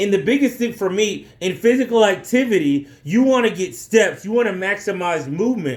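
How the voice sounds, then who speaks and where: Loud and animated, a man speaks at a high pitch. His intonation is lively. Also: moderate pace, hardly any pauses. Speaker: physical education teacher. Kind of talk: casual talk to camera about teaching experience.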